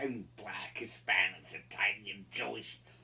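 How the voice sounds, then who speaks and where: A man speaks with an American accent. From Philadelphia area, US. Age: 70s. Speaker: political commentator. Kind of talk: interview. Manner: animated, impassioned; halting, repeated words.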